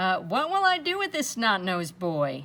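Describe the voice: Using a put-on character voice, a woman speaks at a fairly slow pace and medium pitch with a bright, sharp tone and very wide pitch swings.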